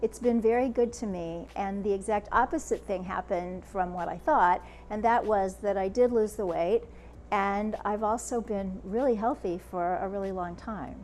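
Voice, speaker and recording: An unremarkable speaking voice, moderately paced, with ordinary variation in pitch. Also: woman, medium pitch for a woman. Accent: American. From United States. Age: 60s. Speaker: author and speaker. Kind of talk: interview.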